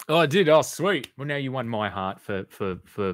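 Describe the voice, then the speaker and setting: Lively intonation marks this moderate-paced voice with an Australian accent in a very clean recording with a silent background. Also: man. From Western Australia, Perth. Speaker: YouTube live streamer. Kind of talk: live stream chat with viewers. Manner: casual, hesitant with repetitions.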